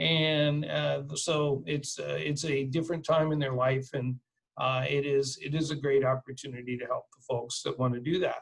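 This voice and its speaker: A somewhat breathy male voice at a moderate pace, with fairly even intonation. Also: fairly high pitch for a man. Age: 60s. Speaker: reverse mortgage specialist. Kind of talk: webinar presentation. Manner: hesitant, many fillers.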